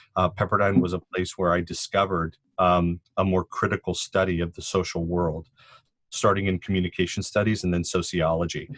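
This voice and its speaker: Recorded very cleanly against a silent background, with a dry, close sound and no echo, a man speaks in a very deep, low pitch. He talks at a fairly quick pace with a Californian accent and monotone, flat intonation. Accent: Californian American English. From Southern California, Cuban family. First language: Spanish. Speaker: sociology professor. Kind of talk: podcast interview. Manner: thoughtful, with many fillers.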